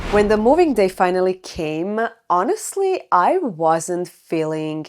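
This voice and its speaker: A woman speaks with a Croatian accent. Her pitch is medium and her pace moderate. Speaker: lifestyle vlogger. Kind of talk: personal storytelling to camera.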